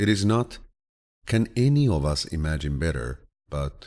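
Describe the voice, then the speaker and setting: The speaker has a soothing tone and lively intonation, moving at a fairly slow pace. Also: man. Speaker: voice actor. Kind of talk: audiobook reading of quotes. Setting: studio. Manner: relaxing, soothing.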